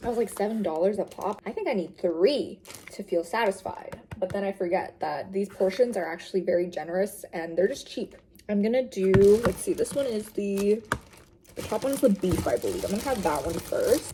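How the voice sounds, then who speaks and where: A woman speaks at a fairly quick pace in a medium pitch with ordinary pitch variation. Noticeable background noise sits behind her. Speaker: vlogger. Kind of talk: casual vlog narration.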